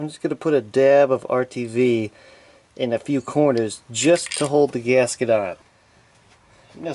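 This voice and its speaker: Speaking at a moderate pace with a medium pitch and fairly even intonation, a man has a dark, mellow tone, big swings in loudness, and long, frequent pauses. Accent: New Jersey. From New Jersey. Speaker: DIY mechanic.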